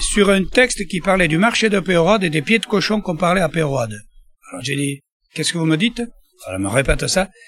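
Using very wide pitch swings, a man speaks at a fairly quick pace. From Landes, southwest France. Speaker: market trader, duck producer. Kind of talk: interview.

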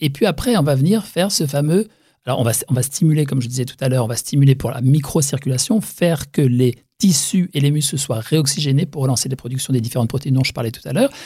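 Talking at a very fast pace, a man has a fairly high pitch, ordinary pitch variation, a dark, mellow tone and a somewhat breathy quality. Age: 60s. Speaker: facial massage practitioner. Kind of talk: interview.

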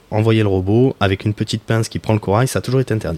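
The man's voice sits fairly low, with ordinary pitch variation and a dry, close sound that has no echo. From Marseille, southern France. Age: 30s. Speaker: professional coral diver. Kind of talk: interview. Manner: halting.

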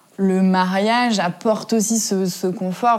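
A woman with an unremarkable speaking voice speaks at a medium pitch with fairly even intonation. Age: 20s. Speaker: interviewee. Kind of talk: interview. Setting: at home.

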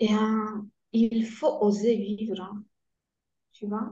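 Somewhat breathy, dark, mellow female voice with a Polish accent, fairly high pitch and very slow pace. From Poland. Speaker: guest, cancer patient, former engineer. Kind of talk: interview, personal testimony. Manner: halting, hesitant.

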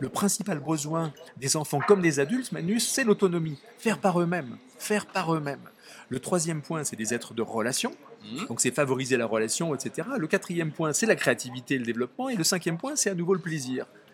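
At a fairly quick pace, a man speaks in a fairly high pitch with very wide swings. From Nice area, southern France. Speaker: author. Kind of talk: interview. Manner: halting.

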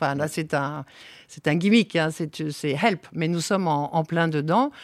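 Recorded very cleanly over a silent background, a woman with fairly low pitch speaks at a moderate pace with ordinary pitch variation. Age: 60s. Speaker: winery owner and agronomist. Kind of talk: interview. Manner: hesitant, many fillers.

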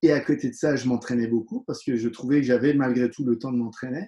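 Fairly even intonation marks this man's medium-pitched voice, which has a dark, mellow tone. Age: 40s. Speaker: dentist and professional kickboxer. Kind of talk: interview.

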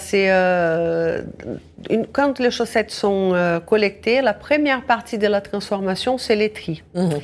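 A woman at medium pitch with ordinary pitch variation, very slow pace, in a very clean recording with a silent background. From Brazil. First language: Portuguese (speaking French). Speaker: social enterprise founder. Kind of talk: radio interview. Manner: halting.

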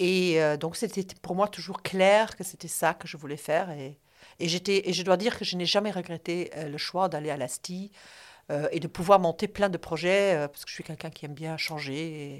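This woman has a plain, everyday voice, fairly low in pitch, with fairly even intonation and big swings in loudness at a moderate pace. The recording is very clean, with a silent background. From Luxembourg. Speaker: former association president. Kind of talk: interview.

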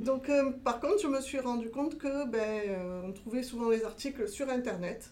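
At a moderate pace and with hardly any pauses, a woman with a high pitch and a dark, mellow tone speaks with ordinary pitch variation. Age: 40s. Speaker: entrepreneur planning a cosplay shop.

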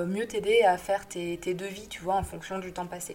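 A woman speaks at a moderate pace. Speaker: graphic designer. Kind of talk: audio newsletter monologue. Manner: hesitant, many fillers.

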